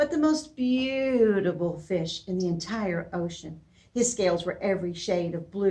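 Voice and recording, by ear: The reading aloud is done in a natural voice, its intonation lively.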